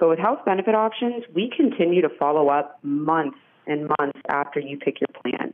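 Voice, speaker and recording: At a moderate pace, a woman with a fairly low pitch uses lively intonation in an ordinary speaking voice. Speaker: office manager. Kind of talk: radio interview. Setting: phone call.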